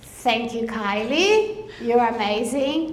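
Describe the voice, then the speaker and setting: Speech in a Brazilian Portuguese accent moves at a very slow pace. The room echo is audible, and background noise is noticeable. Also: woman. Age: 50s. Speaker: veteran support program leader. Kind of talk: conference speech. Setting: stage with audience.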